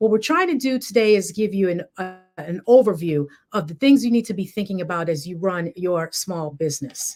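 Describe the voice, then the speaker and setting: Big swings in loudness, lively intonation and hardly any pauses. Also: woman, medium pitch for a woman. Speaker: attorney presenting webinar. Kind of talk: webinar presentation. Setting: online webinar. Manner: fast.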